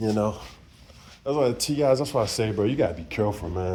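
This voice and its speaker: A man talks at a very fast pace and a fairly low pitch. Noticeable background noise runs underneath. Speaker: vlogger. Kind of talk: casual monologue. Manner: halting, self-interrupting.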